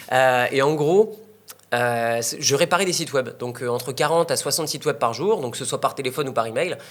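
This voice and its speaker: This man talks at a fairly quick clip. His fairly high pitch varies in an ordinary way. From northern France. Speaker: online entrepreneur and investor. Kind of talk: interview. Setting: in Bali. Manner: hesitant, many fillers.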